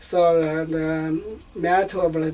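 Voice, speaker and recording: In a Southeast Asian accent, a man speaks at a high pitch with monotone, flat intonation. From northern Laos. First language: Hmong. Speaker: refugee and bilingual translator. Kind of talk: family interview. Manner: halting, many fillers.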